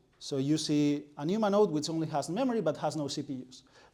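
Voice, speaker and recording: This man has a dark, mellow tone and a fairly high pitch, speaking fairly quickly with ordinary pitch variation while audible room echo fills the recording. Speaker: researcher lecturer. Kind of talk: lecture. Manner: halting with fillers.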